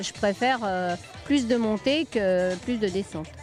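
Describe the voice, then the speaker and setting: With music in the background, a woman speaks at a medium pitch with lively intonation. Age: 70s. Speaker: amateur trail runner. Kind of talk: interview answer.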